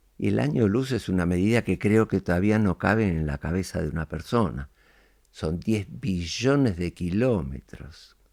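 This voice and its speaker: Talking at a moderate pace with a Rioplatense accent, a man of very deep, low pitch uses lively intonation in a dry, close sound with no echo on a very clean recording with a silent background. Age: 90s. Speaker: podcast guest, elder reflecting on life. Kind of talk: interview conversation. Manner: reflective, hesitant with fillers.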